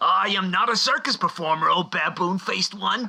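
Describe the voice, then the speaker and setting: A man's put-on character voice, high in pitch, over light background noise. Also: moderate pace. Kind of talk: comic overacting. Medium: audio drama. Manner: wisecracking, rude.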